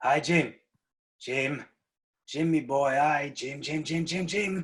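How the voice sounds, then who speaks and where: A man talks in a put-on character voice, raspy and fairly high. He speaks at a fairly slow pace. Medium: stage play. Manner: wheedling and crafty.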